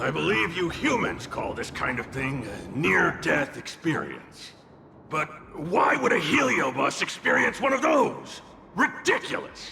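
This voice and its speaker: A man's put-on character voice, fairly high in pitch, at a moderate pace, with clear echo and clear background noise. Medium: video game. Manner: sardonic, theatrical.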